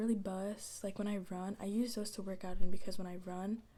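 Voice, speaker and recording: A soft-spoken woman talks at a medium pitch. Her intonation is monotone and flat. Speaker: ASMR creator. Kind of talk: casual soft-spoken ASMR talk to camera.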